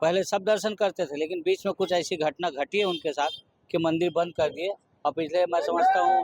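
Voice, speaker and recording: Recorded dry and close with no echo, a man with a high pitch for a man talks at a moderate pace with ordinary pitch variation. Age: 60s. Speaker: local temple devotee. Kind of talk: news interview.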